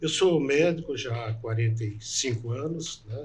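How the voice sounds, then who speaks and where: Man's somewhat breathy voice, medium in pitch, at a fairly slow pace with ordinary pitch variation. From northwest Paraná, Brazil. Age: 60s. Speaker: doctor and political candidate. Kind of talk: interview.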